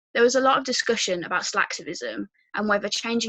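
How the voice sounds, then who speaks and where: In a dry, close sound with no echo, a woman speaks with a Birmingham accent. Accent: Birmingham (Brummie). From English Midlands, Birmingham. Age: 19. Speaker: youth activist and university student. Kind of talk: prepared talk.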